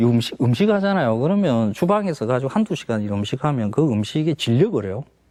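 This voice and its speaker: Very fast and with very wide pitch swings, a man speaks at medium pitch in a dark, mellow tone. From South Gyeongsang, Korea (Masan). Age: 50s. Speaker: food columnist. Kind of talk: talk show interview.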